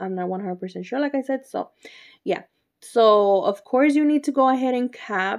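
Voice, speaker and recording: At a moderate pace, a woman talks with a Spanish accent and ordinary pitch variation. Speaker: nail artist YouTuber. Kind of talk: tutorial. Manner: casual, chatty.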